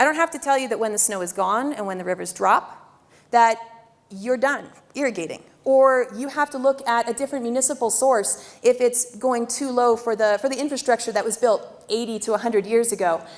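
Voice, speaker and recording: A woman's fairly high voice with ordinary pitch variation, at a fairly quick pace. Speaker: river district staff presenter. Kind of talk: public presentation. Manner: fast.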